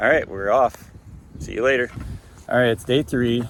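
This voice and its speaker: There is noticeable background noise. Over it, a man speaks at a medium pitch with fairly even intonation. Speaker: hiker vlogger with multiple sclerosis. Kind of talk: casual vlog narration. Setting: outdoors on a mountain trail. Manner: slurred speech at times.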